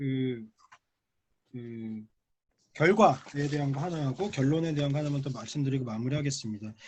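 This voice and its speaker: Somewhat breathy, a man speaks at a fairly high pitch and a fairly quick pace. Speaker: professor, paper discussant. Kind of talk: academic conference discussion. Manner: fast.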